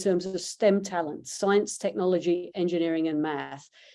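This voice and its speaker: Her tone is dark and mellow. The woman's pitch varies in an ordinary way. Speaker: startup CEO and founder. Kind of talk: pitch presentation.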